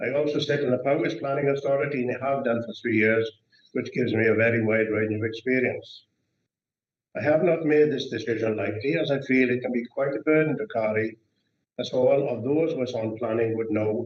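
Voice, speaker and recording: A man in a Welsh accent speaks at a fairly quick pace. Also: medium pitch for a man, ordinary pitch variation. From Wales, Brecon Beacons area. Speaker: councillor. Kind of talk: formal candidacy speech. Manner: halting.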